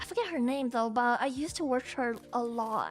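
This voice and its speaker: Over music in the background, a woman with a non-native accent speaks at a high pitch. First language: Chinese. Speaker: VTuber streamer. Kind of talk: casual live-stream talk to chat.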